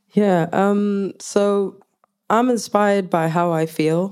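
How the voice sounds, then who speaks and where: Very slow speech in a Zulu accent carries a dark, mellow tone. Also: woman. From South Africa. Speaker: music producer and performer. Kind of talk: panel discussion.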